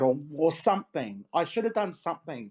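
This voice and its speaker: Very wide pitch swings in an Australian accent at a moderate pace, on a very clean recording with a silent background. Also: woman. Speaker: paranormal investigator. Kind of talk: interview.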